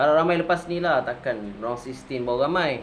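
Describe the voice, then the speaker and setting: With audible room echo and noticeable background noise, this man talks at a moderate tempo, his pitch varying in an ordinary way. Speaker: football reaction youtuber. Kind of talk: casual video reaction commentary. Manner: casual, chatty; animated.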